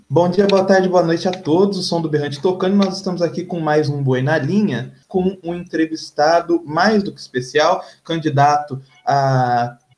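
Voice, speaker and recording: A man's high-pitched voice with ordinary pitch variation and hardly any pauses. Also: moderate pace. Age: young. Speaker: podcast host. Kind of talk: interview.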